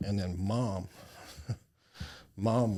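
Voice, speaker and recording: In a very clean recording with a silent background, a man with an American accent speaks in a very deep, low, somewhat breathy voice with ordinary pitch variation. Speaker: charity founder. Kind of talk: interview.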